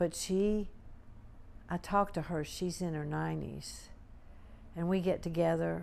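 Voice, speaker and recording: At a fairly slow pace, the voice carries audible room echo. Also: woman. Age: 70s. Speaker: war veteran. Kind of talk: interview. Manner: conversational, with fillers.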